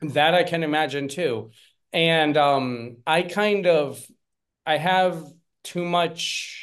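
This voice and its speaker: A man speaks with an American accent at a fairly high pitch. His pitch varies in an ordinary way. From Pennsylvania, US. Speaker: parenting coach, former English teacher. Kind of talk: podcast interview.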